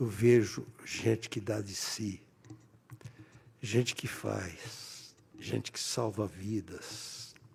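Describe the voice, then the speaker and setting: A man speaks very slowly in a fairly low voice with vocal fry. His intonation stays fairly even, broken by long, frequent pauses. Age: 80s+. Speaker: politician. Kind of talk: ceremonial speech.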